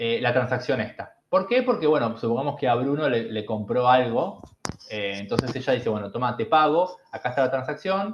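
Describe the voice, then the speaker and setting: A man with a Rioplatense accent speaks at a medium pitch. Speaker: bitcoin educator. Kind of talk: online lecture. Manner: fast; animated.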